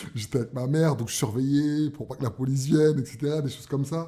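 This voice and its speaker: With a Parisian accent, a man talks in a dark, mellow tone at a fairly high pitch. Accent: Parisian (titi parisien). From Paris, 18th arrondissement (Barbès). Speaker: cultural entrepreneur. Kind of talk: radio interview. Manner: hesitant, many fillers.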